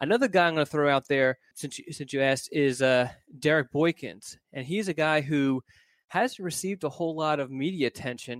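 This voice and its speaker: An unremarkable speaking voice with an American accent, ordinary pitch variation and a fairly quick pace, in a dry, close sound with no echo and a very clean recording over a silent background. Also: man, fairly high pitch for a man. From Philadelphia, US. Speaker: recruiting reporter. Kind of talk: casual chat.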